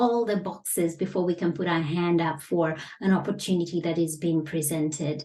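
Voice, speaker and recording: A woman speaks with a non-native accent at a moderate pace. Her fairly low voice has a dark, mellow tone. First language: not English. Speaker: business coach. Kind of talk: online lesson. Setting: facing camera. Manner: measured, with frequent fillers.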